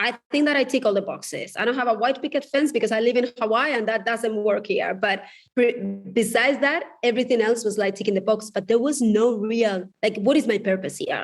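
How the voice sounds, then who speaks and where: Here a woman talks at a fairly quick pace. Her voice is fairly high, with ordinary pitch variation. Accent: Spanish. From Spain. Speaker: divorce coach and author. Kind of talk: podcast interview.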